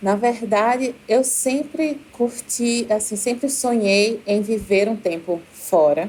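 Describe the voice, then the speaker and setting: A woman's fairly high voice in a Recife accent at a very slow pace, with hardly any pauses, very even loudness and ordinary pitch variation, over noticeable background noise. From Brazil, Recife. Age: 30s. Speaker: university professor, doctoral student. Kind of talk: podcast interview, personal story.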